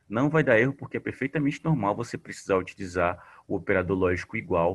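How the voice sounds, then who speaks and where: With a Paraíba accent, the speaker talks at a moderate pace with lively intonation. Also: man. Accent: Paraíba (northeastern Brazil). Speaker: teacher. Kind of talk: online class tutorial on spreadsheets. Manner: casual, conversational.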